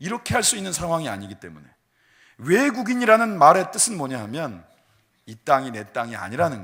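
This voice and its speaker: The voice has a bright, sharp tone, vocal fry and very wide pitch swings, moving at a fairly quick pace. Loudness swings widely on a very clean recording with a silent background. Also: man. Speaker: pastor. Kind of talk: sermon.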